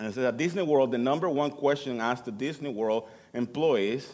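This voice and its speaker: The speaker is a man with a non-native accent. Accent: noticeable foreign. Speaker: church musician giving sermon. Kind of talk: sermon. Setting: church. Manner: halting.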